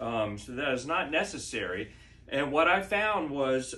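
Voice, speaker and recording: Speaking very slowly in an American accent, a man with a fairly high pitch uses lively intonation amid audible room echo. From Maryland, US. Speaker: home video creator sharing injury recovery tips. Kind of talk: casual tutorial. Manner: halting, many fillers (uh, um).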